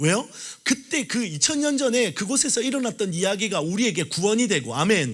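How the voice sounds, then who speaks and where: Talking at a fairly quick pace, a man uses a high pitch, very wide pitch swings, and an animated tone. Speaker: pastor. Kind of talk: sermon. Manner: fast.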